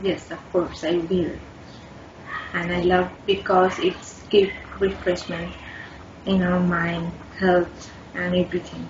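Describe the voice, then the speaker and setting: A woman with a Bangladeshi accent speaks at a very slow pace in a fairly low pitch, her monotone, flat delivery broken by long, frequent pauses over noticeable background noise. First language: Bengali. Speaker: IELTS test candidate. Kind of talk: speaking exam interview. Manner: halting.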